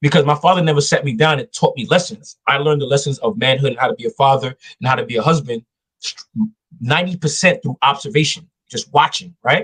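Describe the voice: Speaking at a fairly quick pace, a man with a slightly husky edge uses ordinary pitch variation in a dry, close sound with no echo. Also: medium pitch for a man.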